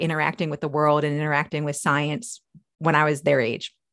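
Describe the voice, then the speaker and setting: A woman with an American accent and a very deep, low pitch, against a quiet background. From New York. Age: 40s. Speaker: engineer and science fiction author. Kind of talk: interview.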